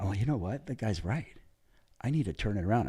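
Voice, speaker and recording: Very wide pitch swings and vocal fry in a male voice. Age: 60s. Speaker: big wave tow surfer. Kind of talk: casual chat. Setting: video podcast. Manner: animated.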